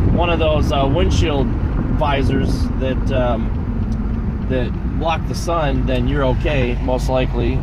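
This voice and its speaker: Loud background noise surrounds a man speaking in a dry sound with no echo. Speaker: car owner vlogger. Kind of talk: casual vlog chat. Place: car. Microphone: phone near.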